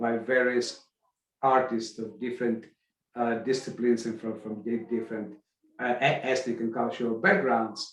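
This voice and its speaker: With a medium pitch, a man talks in a monotone, flat intonation. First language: Russian. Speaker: arts event organizer. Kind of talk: podcast interview. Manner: halting, many false starts.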